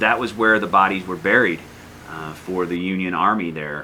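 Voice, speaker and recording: A man with a Northern US accent speaks in a very deep, low pitch and fairly even intonation. Noticeable background noise and audible room echo fill the recording. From US North. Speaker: history teacher. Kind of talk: lecture. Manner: casual, hesitant with fillers.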